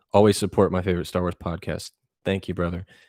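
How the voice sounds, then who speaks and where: A man speaks with a very deep, low pitch. The sound is dry and close with no echo, on a very clean recording with a silent background. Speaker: podcast host and youtuber. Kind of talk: live stream chat reading comments. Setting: live stream.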